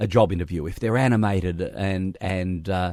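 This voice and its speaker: Here is a man with an Australian accent. He keeps a moderate pace. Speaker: radio host. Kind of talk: interview.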